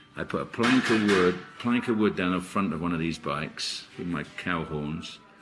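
Over clear background music, a man with a very deep, low pitch speaks at a moderate pace with ordinary pitch variation. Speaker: guest. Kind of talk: interview answer. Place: cafe.

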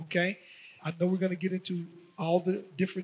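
A man with a high-pitched voice. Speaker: pastor. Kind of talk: sermon. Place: church. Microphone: headset.

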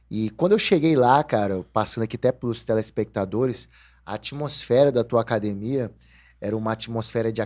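The speaker uses ordinary pitch variation at a moderate pace against a quiet background. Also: man. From Brazil. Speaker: podcast host. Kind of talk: casual interview. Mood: relaxed, reminiscing. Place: studio. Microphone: studio mic.

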